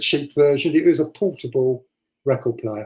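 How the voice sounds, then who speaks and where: A man talks at a medium pitch, somewhat breathy. His tone is dark and mellow. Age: 50s. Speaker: DJ and record collector. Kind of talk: casual chat.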